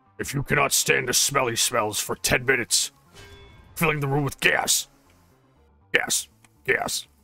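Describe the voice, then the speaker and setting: Faint music plays behind a man doing a put-on character voice at a fairly high pitch. He talks at a moderate pace with long, frequent pauses. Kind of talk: silly meme voice. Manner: comic overacting, gloating, repetitive.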